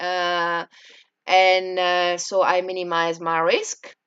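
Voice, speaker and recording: Against a quiet background, a woman with a French accent speaks at a fairly low pitch. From France. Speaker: entrepreneur. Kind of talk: personal experience vlog. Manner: halting, many fillers.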